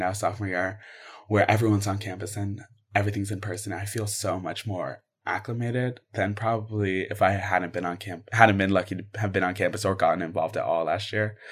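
Somewhat breathy, a man talks at a fairly quick pace in a fairly low pitch and a monotone, flat intonation. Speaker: student podcast host. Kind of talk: interview.

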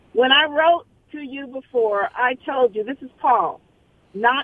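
A woman with an American accent, high in pitch, with lively intonation at a moderate pace. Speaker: caller. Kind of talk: casual chat. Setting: phone call.

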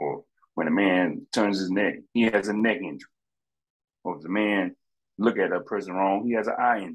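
This man talks at a fairly quick pace with fairly low pitch and ordinary pitch variation, leaving long, frequent pauses. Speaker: sports fan ranting. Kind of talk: angry sports rant. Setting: podcast recording. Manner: animated, exasperated, venting.

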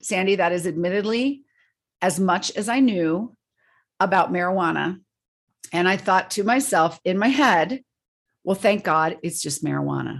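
Over a quiet background, a woman speaks at a moderate pace and medium pitch, with vocal fry. Her pitch varies in an ordinary way, and her pauses are long and frequent. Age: 50s. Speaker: parent advocate and author. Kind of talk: interview.

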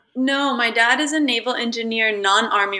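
Over noticeable background noise, a woman with a General American accent talks with ordinary pitch variation. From Italy. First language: Italian. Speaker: yoga practitioner. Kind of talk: interview.

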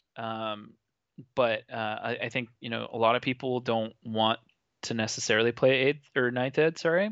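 In a normal speaking voice, a man talks at a moderate pace and medium pitch. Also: fairly even intonation. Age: 30s. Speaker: podcast host. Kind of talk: casual chat.

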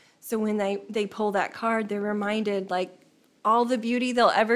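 A woman with an American accent, a normal speaking voice, fairly high pitch, fairly even intonation and a moderate pace. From northern Indiana, small town. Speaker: painter and art facilitator. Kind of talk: casual interview.

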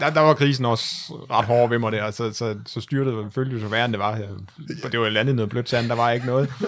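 A man with a medium pitch and fairly even intonation speaks fairly quickly while noticeable background noise carries on. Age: 30s. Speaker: amateur ultra-distance cyclist. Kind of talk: casual interview chat.

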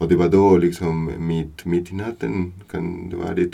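In a Spanish accent, a man with a very deep, low pitch speaks at a fairly slow pace. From Buenos Aires, Argentina. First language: Spanish (speaking Swedish). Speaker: new father. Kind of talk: casual chat.

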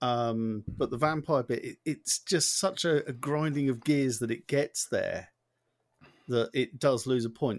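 On a very clean recording with a silent background, a man talks at a moderate pace in an unremarkable speaking voice. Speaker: podcast host. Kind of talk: casual chat.

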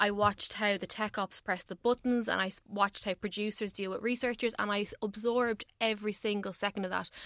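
In an Irish accent, a woman speaks fairly quickly in a flat monotone, her tone bright and sharp, on a very clean recording with a silent background and a dry, close sound with no echo. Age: 20s. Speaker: radio tech journalist. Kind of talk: casual chat. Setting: radio studio.

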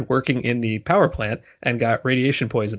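A man speaks with an American accent in a normal speaking voice at a medium pitch. His intonation is fairly even and his pace fairly quick. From New Jersey. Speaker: baseball writer. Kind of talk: casual interview. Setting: remote call, not in same room.

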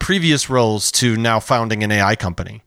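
A man with an American accent speaks in a normal speaking voice at a medium pitch with lively intonation. The recording is very clean, the background silent. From Chicago, US Midwest. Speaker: podcast host. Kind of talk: interview.

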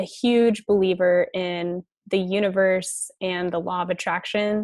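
In an unremarkable speaking voice, a woman with an American accent talks at medium pitch with fairly even intonation. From Colorado. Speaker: franchise studio owner. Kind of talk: interview.

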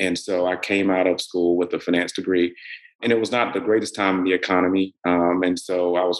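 With an American accent, a man speaks at a very fast pace in a very deep, low pitch and a monotone, flat intonation. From US South, middle Georgia. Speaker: bank executive. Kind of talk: interview.

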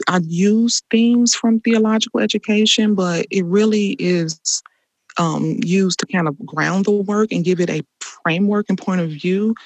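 A woman with an American accent and an unremarkable speaking voice talks at a moderate pace and medium pitch with ordinary pitch variation. The sound is dry and close, with no echo. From Chicago, US Midwest. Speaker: artist and rest activist. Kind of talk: interview conversation.

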